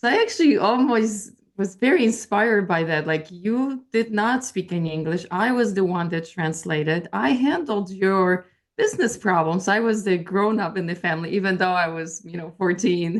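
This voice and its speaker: At a moderate pace and with hardly any pauses, a woman with a slight Polish accent speaks with ordinary pitch variation. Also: medium pitch for a woman. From Poland, moved to US as a teenager. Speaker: intuitive life coach. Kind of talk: interview. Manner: halting, many fillers.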